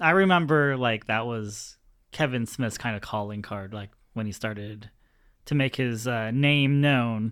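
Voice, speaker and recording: On a very clean recording with a silent background, a man with an unremarkable speaking voice speaks at medium pitch and a moderate pace, with ordinary pitch variation. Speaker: podcast host. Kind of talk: casual chat.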